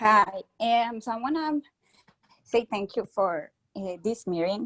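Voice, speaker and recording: A woman with a Spanish accent speaks very slowly at a fairly high pitch with ordinary pitch variation, in a dry, close sound with no echo. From Colombia. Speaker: college student. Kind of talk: audience comment. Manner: halting.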